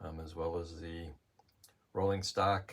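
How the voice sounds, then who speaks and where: A man speaks in a very deep, low pitch that is somewhat breathy. He goes at a fairly slow pace with monotone, flat intonation. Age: 70s. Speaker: model train hobbyist. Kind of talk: narrated video tour. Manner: halting, many fillers.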